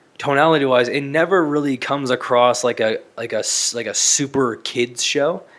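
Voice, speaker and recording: Speaking at a moderate pace with hardly any pauses, the man has a fairly high pitch. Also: fairly even intonation. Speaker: podcast co-host. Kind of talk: casual chat.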